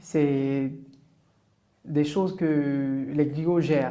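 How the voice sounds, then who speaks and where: A man's fairly high pitch and dark, mellow tone, delivered in monotone, flat intonation with audible room echo. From northern Côte d'Ivoire. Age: 30s. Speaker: entrepreneur. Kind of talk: podcast interview.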